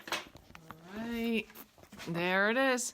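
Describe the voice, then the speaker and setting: Light background noise sits behind a woman speaking at a high pitch with a Maine accent. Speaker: art teacher. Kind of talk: tutorial; casual chat. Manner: casual, halting. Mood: cheerful, chatty.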